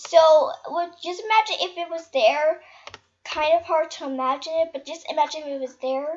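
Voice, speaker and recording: Soft-spoken yet swinging widely in loudness, a woman talks at a moderate pace in an extremely high pitch. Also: ordinary pitch variation. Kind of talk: casual gaming commentary to viewers. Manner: soft-spoken, subdued.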